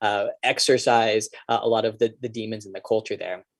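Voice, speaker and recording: The sound is dry and close with no echo as a man talks at a fairly quick pace. His intonation is fairly even. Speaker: professor. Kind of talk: lecture; Q&A discussion. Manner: halting with many fillers.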